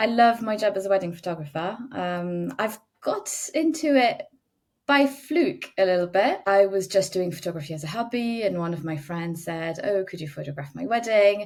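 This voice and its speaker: With a slight French accent, a woman speaks at a moderate pace in a medium pitch, using lively intonation and big swings in loudness. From France. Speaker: wedding photographer. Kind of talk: podcast interview.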